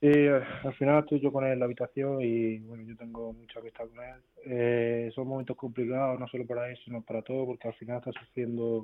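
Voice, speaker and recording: Quick, monotone delivery from a man at medium pitch, flat in intonation and with hardly any pauses. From Spain. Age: young. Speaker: footballer. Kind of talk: radio interview. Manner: halting.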